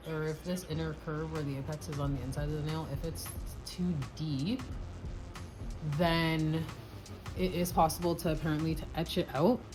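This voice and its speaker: A woman speaks with fairly low pitch. Music plays in the background, and room echo is audible. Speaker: nail art vlogger. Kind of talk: tutorial. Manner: casual.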